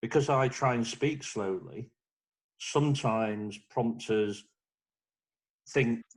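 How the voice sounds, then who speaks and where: Keeping a fairly slow pace, a man talks at a medium pitch with fairly even intonation. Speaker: lodge member. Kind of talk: online group talk. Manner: hesitant with ums.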